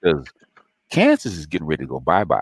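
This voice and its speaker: A man talks in an animated tone, the sound dry and close with no echo. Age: 60s. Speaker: YouTube commentator. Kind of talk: livestream monologue.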